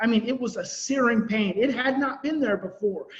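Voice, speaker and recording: With noticeable background noise behind him, a man speaks at a fairly quick pace and an extremely high pitch, with ordinary pitch variation. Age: 40s. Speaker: parenting and attachment trauma expert. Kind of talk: online conference presentation. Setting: virtual conference. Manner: fast.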